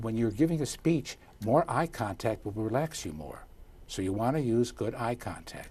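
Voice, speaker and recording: This man's voice sits at medium pitch and sounds somewhat breathy. His intonation is lively and his pace moderate. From US Midwest, Chicago. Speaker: communications coach. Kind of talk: interview. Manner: animated.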